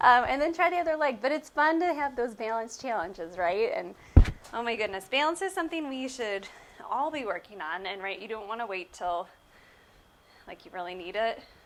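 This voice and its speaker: This woman talks at a fairly quick pace, her fairly high voice making very wide pitch swings. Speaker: pilates instructor. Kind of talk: exercise tutorial. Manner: casual, chatty.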